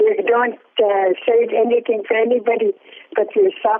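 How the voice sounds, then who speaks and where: A high-pitched woman's voice with very wide pitch swings over noticeable background noise. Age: old. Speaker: community elder. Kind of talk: casual chat.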